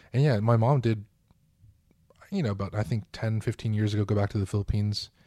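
In a very clean recording with a silent background and a dry, close sound with no echo, a man speaks at a fairly quick pace. His fairly low voice has a dark, mellow tone, is somewhat breathy, and keeps fairly even intonation. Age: 20s. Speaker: podcast co-host. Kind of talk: casual chat.

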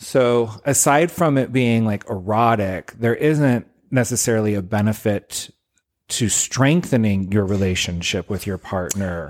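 This man has a normal speaking voice, fairly low in pitch, with ordinary pitch variation and a fairly slow pace, captured in a very clean recording with a silent background. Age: 40s. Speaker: podcast co-host. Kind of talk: casual chat.

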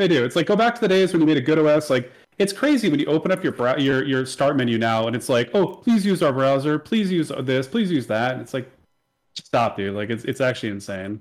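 A man with a fairly high voice talks very fast, his pitch swinging very widely. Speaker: podcast co-host. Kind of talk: casual chat. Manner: loud when excited.

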